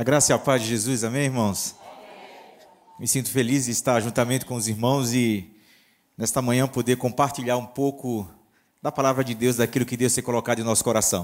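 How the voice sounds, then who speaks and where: Pausing long and often, a man of medium pitch speaks at a fairly quick pace with fairly even intonation. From northeast Brazil. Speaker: pastor. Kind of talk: sermon.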